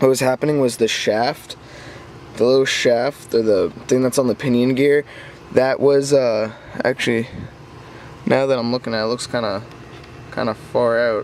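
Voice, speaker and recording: At a moderate pace, a man speaks in a medium pitch with monotone, flat intonation over noticeable background noise. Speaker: RC car hobbyist vlogger. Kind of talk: casual update video. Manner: halting, stumbles over words.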